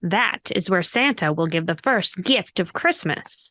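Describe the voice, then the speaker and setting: Against a quiet background, a woman puts on a character voice at medium pitch and a fairly slow pace. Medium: read story. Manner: calm, warm.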